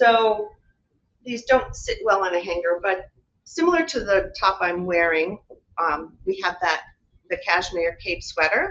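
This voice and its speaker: Her pace fairly slow and broken by long, frequent pauses, a woman speaks at a medium pitch with lively intonation. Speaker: fashion designer. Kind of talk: product presentation. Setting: live webinar.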